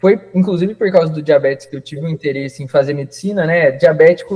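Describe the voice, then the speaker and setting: Fairly quick, fairly high-pitched speech from a man. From Paraná, Brazil (Ponta Grossa). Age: 20s. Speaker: doctor. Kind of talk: interview.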